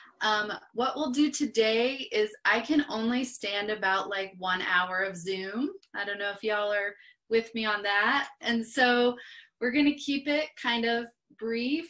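A bright, sharp tone at a fairly slow pace, with ordinary pitch variation and a quiet background. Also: woman. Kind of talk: casual presentation intro. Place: home room. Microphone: video call.

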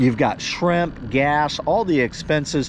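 Light background noise behind a male voice, dry and free of echo. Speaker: fishing vlogger. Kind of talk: casual vlog chat. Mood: earnest heart-to-heart. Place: boat. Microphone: phone near.

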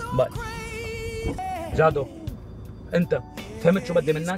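A man's voice, dry with no echo, with clear music in the background. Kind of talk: comedic phone call and conversation. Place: car. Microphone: camera far.

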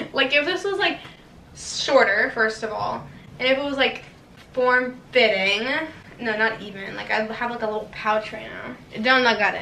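This woman's voice is high-pitched and her pace is fairly slow. The room echo is audible, with light background noise. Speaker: try-on haul vlogger. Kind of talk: casual vlog chat. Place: home room. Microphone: camera far.

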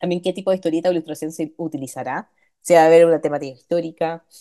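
Against a quiet background, a woman speaks with a dark, mellow tone. Her pitch is very deep and low. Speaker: lecturer; instructor. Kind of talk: lecture. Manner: fast. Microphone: video call.

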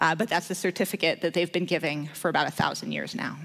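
With a Canadian accent, a woman talks at a very fast pace, her fairly low pitch held in fairly even intonation. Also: quiet background. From Vancouver, Canada; British Columbia, Canada. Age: 30s. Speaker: lay preacher. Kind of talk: sermon. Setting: church. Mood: warm, storytelling, light humour. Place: church. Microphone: podium.

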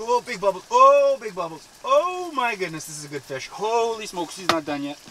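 With noticeable background noise behind him, a man with a high pitch speaks in a raised, projected voice at a fairly quick pace, his tone animated, with very wide pitch swings and big swings in loudness. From Winnipeg, Manitoba, Canada. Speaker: ice fishing video creator. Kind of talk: casual vlog narration. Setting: outdoors on a frozen lake. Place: tent. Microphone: phone near.

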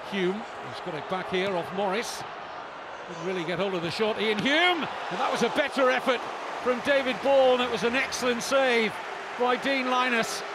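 Amid crowd noise in the background, a man talks at a moderate pace with an extremely high pitch and lively intonation, the sound dry with no echo. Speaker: football commentator. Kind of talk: live football commentary. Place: stadium.

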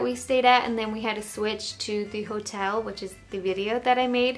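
With faint music in the background, a woman speaks at a fairly slow pace and ordinary pitch variation. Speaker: travel vlogger. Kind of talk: casual vlog chat. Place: home room.

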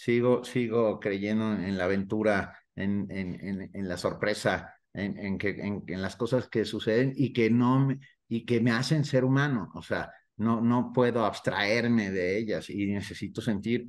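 A man at a fairly slow pace with fairly even intonation, against a quiet background. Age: 60s. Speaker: novelist; interviewee. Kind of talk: interview. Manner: halting, frequent repetitions. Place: home room. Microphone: video call.

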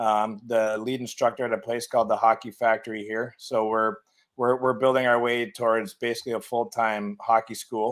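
An American man speaks at a moderate pace with a medium pitch. His voice shows little pitch movement.

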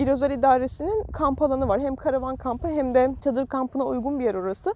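The pace runs fairly quick. Intonation throughout is lively. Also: woman, dry sound with no echo. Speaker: travel vlogger. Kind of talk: casual vlog chat. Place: beach. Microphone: phone near.

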